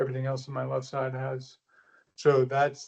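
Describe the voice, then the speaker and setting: With an American accent, a man talks in a fairly high pitch. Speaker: military veteran and patient. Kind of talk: testimony. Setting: video call. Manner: halting.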